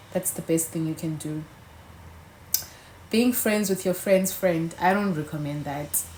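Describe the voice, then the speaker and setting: A somewhat breathy woman with a fairly low pitch and ordinary pitch variation, at a fairly slow pace with long, frequent pauses. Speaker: YouTuber. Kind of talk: casual chat. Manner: animated.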